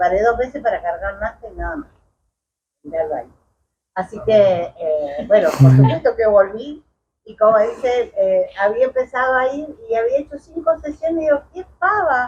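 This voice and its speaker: A high-pitched woman at a moderate pace, with big swings in loudness and very wide pitch swings. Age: 60s. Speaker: chiropractic patient. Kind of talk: testimony. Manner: halting.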